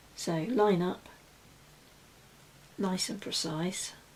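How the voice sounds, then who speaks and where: At a very slow pace, a woman of medium pitch speaks with ordinary pitch variation, with audible room echo and noticeable background noise. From UK. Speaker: crafter. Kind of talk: tutorial. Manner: casual.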